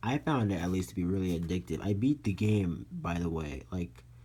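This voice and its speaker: A man talks at a fairly quick pace with lively intonation. His tone is dark and mellow, and somewhat breathy. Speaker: toy reviewer. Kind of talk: product review. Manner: hesitant, many fillers.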